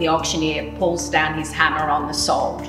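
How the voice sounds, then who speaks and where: Clear music plays in the background. A woman is speaking. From Australia, Queensland. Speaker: real estate sales specialist and auctioneer. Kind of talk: promotional interview answer to camera. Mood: warm, pleased. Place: kitchen.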